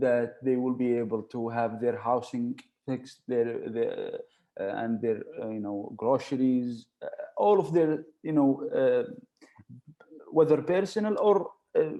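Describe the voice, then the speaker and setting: At a fairly slow pace, a man with an Arabic accent speaks with lively intonation. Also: medium pitch for a man. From Saudi Arabia, Riyadh. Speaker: university alumnus. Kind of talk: interview. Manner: halting, many fillers.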